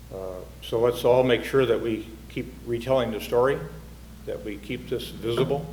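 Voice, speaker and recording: A man talks at a moderate pace with long, frequent pauses, and room echo is audible. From North Dakota. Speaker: city official. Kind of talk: closing remarks.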